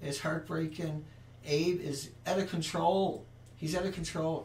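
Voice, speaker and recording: There is audible room echo around a man's voice. He sounds somewhat breathy, with ordinary pitch variation. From Newfoundland, Canada. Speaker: online show host. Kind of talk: casual live stream commentary. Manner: animated.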